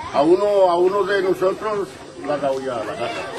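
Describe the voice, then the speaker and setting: Against crowd noise in the background and audible room echo, a man speaks at a fairly slow pace with ordinary pitch variation. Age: 70s. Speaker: settlement resident. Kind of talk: street interview. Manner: halting.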